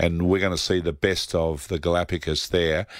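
A man with an Australian accent speaks at a moderate pace in a very deep, low voice. His intonation is monotone and flat, and the recording is very clean with a silent background. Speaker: travel agency owner. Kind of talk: radio interview.

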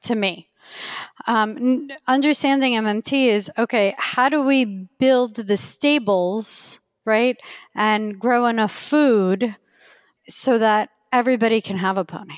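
A woman talks at a fairly slow pace with a fairly high pitch. Her pitch varies in an ordinary way. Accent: Iranian. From Queens, New York. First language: Farsi. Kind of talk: casual interview conversation.

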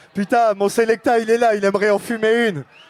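A man's high-pitched voice, animated in tone. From France, Tours. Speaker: sound system MC. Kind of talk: soundclash MC talk. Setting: stage with audience.

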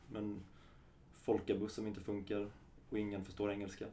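A man speaks in a dark, mellow tone at a fairly low pitch. Audible room echo surrounds his voice. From Sweden, Halmstad area (Halland). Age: 30s. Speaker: kinesiologist. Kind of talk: interview.

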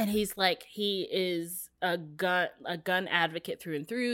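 A woman's medium pitch and bright, sharp tone, with ordinary pitch variation and a fairly slow pace on a very clean recording with a silent background. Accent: American. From West Virginia, small town. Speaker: podcaster and blogger, former TV journalist. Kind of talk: casual chat.

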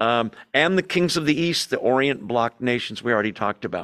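A man's unremarkable speaking voice at medium pitch, with lively intonation and a moderate pace, in a dry, close sound without echo. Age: 60s. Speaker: Bible study teacher. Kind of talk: Bible study lecture. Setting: church hall with in-person audience and Zoom. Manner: conversational with frequent fillers.

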